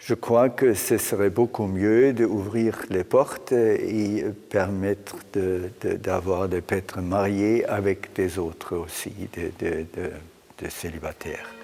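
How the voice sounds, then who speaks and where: A man with a German accent speaks very slowly in a fairly low, dark, mellow voice with fairly even intonation. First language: German (speaking French). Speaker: priest and theologian. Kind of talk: interview. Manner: halting, repeats words.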